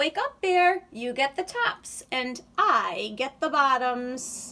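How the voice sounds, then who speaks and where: A very slow, high-pitched put-on character voice from a woman. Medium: read story.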